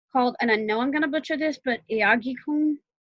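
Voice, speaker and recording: A woman with a high pitch raises and projects her voice, her tone bright and sharp. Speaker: author and interview host. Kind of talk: podcast interview host.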